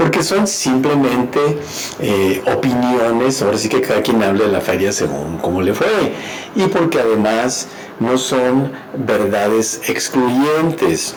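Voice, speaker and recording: A man with a medium pitch speaks very slowly, using lively intonation and very even loudness. Audible room echo and noticeable background noise surround him. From northern Mexico, Ciudad Juárez. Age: 60s. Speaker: radio host and counselor. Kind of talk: advice talk. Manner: halting with fillers.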